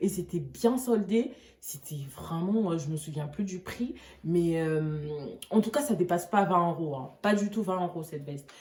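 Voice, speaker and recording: A woman's somewhat breathy voice at a fairly low pitch, with lively intonation and a fairly slow pace. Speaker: fashion YouTuber. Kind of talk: try-on haul vlog.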